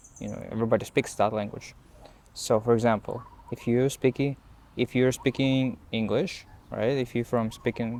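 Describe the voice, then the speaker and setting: With a non-native accent, a man talks in a medium pitch. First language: Russian. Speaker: language learning vlogger. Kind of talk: unscripted talk to camera. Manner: halting, many fillers and repetitions.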